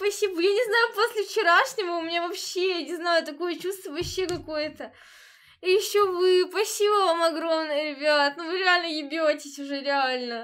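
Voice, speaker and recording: Pitch moves a normal amount, and the background stays quiet. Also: woman, extremely high pitch for a woman, moderate pace. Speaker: streamer. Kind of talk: casual stream chat to viewers. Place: home room. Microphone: earbuds.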